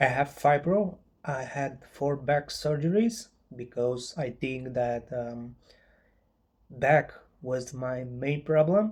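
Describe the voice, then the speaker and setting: With a non-native accent, a man talks at a very slow pace with long, frequent pauses, a fairly high pitch and ordinary pitch variation. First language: not English. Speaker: chronic pain patient and author. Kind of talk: informal video talk to viewers. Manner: halting, many fillers.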